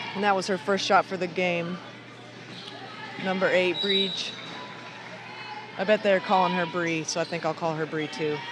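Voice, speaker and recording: With music in the background, a man with an American accent speaks at a high pitch in a monotone, flat intonation, leaving long, frequent pauses. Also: moderate pace. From United States. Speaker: basketball commentator. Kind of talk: live commentary. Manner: casual, conversational.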